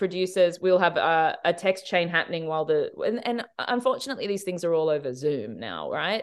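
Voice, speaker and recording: Speaking with an Australian accent at a moderate pace, a woman with a fairly low pitch uses lively intonation against a quiet background. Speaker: TV director. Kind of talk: interview.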